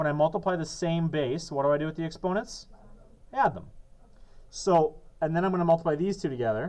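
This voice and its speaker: Talking very fast yet with long, frequent pauses, a man with a high pitch uses ordinary pitch variation. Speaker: math teacher. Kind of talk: classroom lesson.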